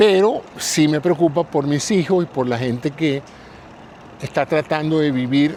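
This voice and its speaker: Over noticeable background noise, a man with a fairly high pitch speaks at a fairly slow pace with fairly even intonation. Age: 70s. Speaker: podcast host. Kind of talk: solo reflective monologue. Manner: conversational, reflective.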